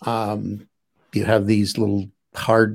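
A man's fairly low voice in a monotone with flat intonation. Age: 70s. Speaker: physicist and psychotherapist. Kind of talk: interview. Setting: live stream.

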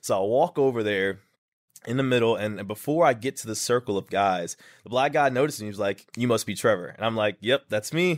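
A man's normal speaking voice at medium pitch, fairly quick in pace with ordinary pitch variation, dry and close with no echo, on a very clean recording with a silent background. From Texas, small town. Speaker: fitness influencer. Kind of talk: interview, casual storytelling.

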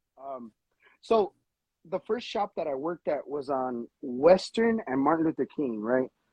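An American man talks at a fairly slow pace with a fairly high pitch. His pitch swings very widely, and the sound is dry and close with no echo. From Los Angeles. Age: 30s. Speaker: tattoo artist. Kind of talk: casual chat.

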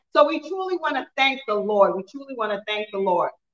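A raised, projected voice, bright and sharp in tone, with very wide pitch swings. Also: woman. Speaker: service announcer. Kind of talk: announcement and prayer. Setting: church.

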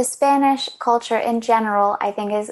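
Here a woman talks with an American accent. Her pitch varies in an ordinary way. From US, Baltimore, Maryland. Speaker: fiber artist. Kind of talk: interview.

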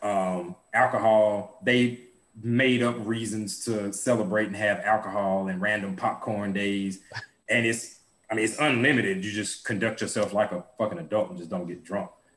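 A man speaks in a plain, everyday voice. His pitch is fairly low, with ordinary variation. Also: moderate pace. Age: 30s. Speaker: podcast co-host. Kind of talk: casual chat.

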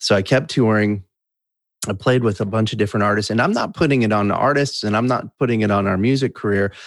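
There is a plain, everyday voice from a man with an American accent and ordinary pitch variation, in a very clean recording with a silent background. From US Midwest (Wisconsin). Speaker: musician in recovery. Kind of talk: interview testimony.

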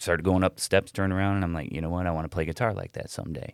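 A man with a Midwestern American accent speaks in a very deep, low voice with ordinary pitch variation, the sound dry and close with no echo on a very clean recording over a silent background. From Cleveland area, Ohio. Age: 40s. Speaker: rock guitarist. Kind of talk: casual chat.

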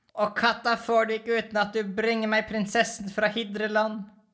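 A put-on character voice, female-sounding and fairly high in pitch, growls with monotone, flat intonation. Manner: growling.

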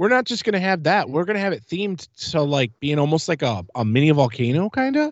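Animated and enthusiastic, a man talks very fast at a fairly high pitch with very wide pitch swings. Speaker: podcast host. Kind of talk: casual chat, podcast. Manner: animated, fast, enthusiastic.

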